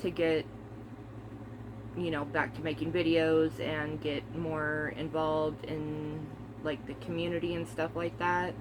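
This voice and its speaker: This woman's voice is very deep and low. Room echo is audible, and background noise is noticeable. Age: 30s. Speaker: movie collector vlogger. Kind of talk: casual chat. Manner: casual, hesitant with many fillers.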